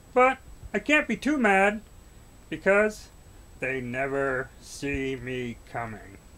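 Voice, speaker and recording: A cartoonish character voice with a low-to-middle pitch goes at a fairly slow pace, with long, frequent pauses. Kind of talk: comic horror puppet voice. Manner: sly, sarcastic, mock-offended.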